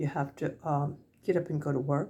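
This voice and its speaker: Using an American accent, a woman speaks at a moderate pace in a very deep, low voice with a dark, mellow tone, vocal fry and lively intonation. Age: 70s. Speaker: senior vlogger. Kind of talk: casual talk to camera. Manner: halting.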